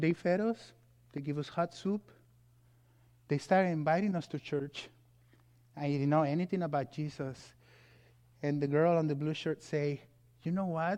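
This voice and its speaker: Against a quiet background, a man with a Mexican accent and fairly high pitch speaks at a moderate pace with fairly even intonation and long, frequent pauses. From Mexico. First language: Spanish. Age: 40s. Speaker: guest preacher, pastor. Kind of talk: sermon. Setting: church.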